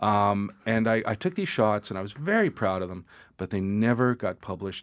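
In an ordinary speaking voice, a man talks at a fairly quick pace, his pitch fairly low with ordinary variation, on a very clean recording with a silent background. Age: 50s. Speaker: photographer. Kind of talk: casual interview chat. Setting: studio.

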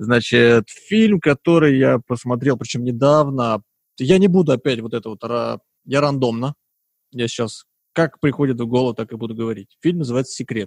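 A man talks at a moderate pace in an ordinary speaking voice with a medium pitch. His pitch variation is ordinary, and the sound is dry and close with no echo. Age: 20s. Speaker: podcast host. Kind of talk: casual chat.

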